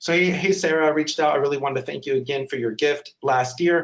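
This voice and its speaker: Speaking at a very fast pace, the man has a fairly high pitch. His pitch variation is ordinary. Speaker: webinar presenter on digital fundraising. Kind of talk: webinar presentation. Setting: online webinar.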